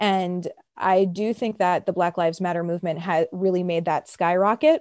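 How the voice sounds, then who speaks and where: Woman with a New York accent and a dark, mellow tone, medium in pitch, at a moderate pace, with a quiet background and a dry, close sound with no echo. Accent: New York American. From US, Brooklyn, New York. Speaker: criminal justice reform worker. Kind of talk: interview.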